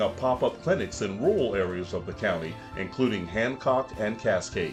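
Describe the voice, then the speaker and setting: Music plays in the background as a man talks at a moderate pace with lively intonation. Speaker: voice-over artist. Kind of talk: award video narration.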